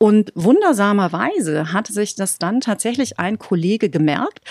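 A woman with an ordinary speaking voice talks at a moderate pace with lively intonation, recorded dry and close with no echo on a very clean recording with a silent background. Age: 40s. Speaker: media and communications executive. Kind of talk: interview.

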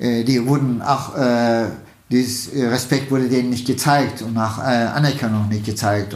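Audible room echo surrounds a man with a Turkish accent, who talks at a medium pitch and a fairly slow pace with fairly even intonation. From Turkey, Istanbul. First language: Turkish (speaking German). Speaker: state politician. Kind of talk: interview. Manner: halting, many fillers.

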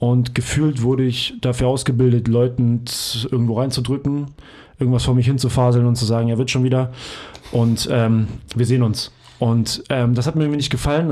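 A man with a dark, mellow tone and medium pitch speaks at a very fast pace. His intonation is monotone and flat, and his loudness stays very even. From Hamburg, northern Germany. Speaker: physiotherapist and trainer. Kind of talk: casual chat.

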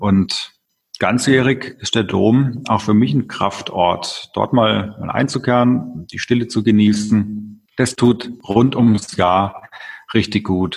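A man speaks with a fairly low pitch and ordinary pitch variation. His pace is very slow. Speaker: mayor. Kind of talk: interview.

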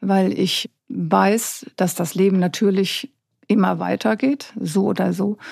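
A woman speaks at a very slow pace with very even loudness. The sound is dry and close, with no echo. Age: 50s. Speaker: journalist. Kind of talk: casual interview.

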